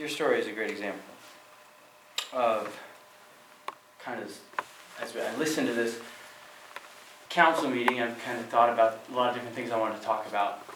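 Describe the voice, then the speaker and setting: A man with an American accent speaks at a fairly quick pace and medium pitch, his intonation fairly even but his loudness swinging widely. Long, frequent pauses break his speech, and room echo and noticeable background noise can be heard. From Goldendale, Washington, US Pacific Northwest. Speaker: citizen speaking at public comment. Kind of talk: public comment at city council meeting. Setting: city council meeting room. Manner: halting, with fillers and repetitions.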